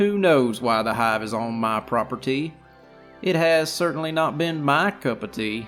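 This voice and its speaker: Putting on a sing-song character voice, a man speaks at a fairly high pitch and a moderate pace over clear music in the background. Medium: actual play. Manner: sing-song rhyming speech.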